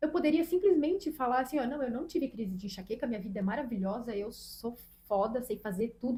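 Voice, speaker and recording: A woman's high-pitched voice with lively intonation at a very fast pace. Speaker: podcast co-host, teacher. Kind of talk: casual chat.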